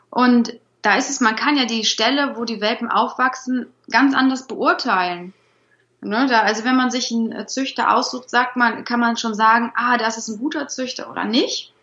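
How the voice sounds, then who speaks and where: At a moderate pace, a woman speaks with high pitch and fairly even intonation. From Rhineland, Germany (Troisdorf near Bonn). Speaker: dog trainer. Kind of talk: interview.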